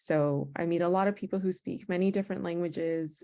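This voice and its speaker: A woman speaks with a Spanish accent in a dark, mellow tone. Her pitch is fairly low, her pace moderate and her pitch variation ordinary. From United States, Spanish-speaking family. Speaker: Peace Corps recruiter, former volunteer. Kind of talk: virtual panel discussion.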